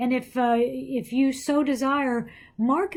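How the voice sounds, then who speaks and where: Recorded very cleanly with a silent background, a woman speaks in a high pitch. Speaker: pastor. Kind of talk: bible study talk. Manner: hesitant, many fillers.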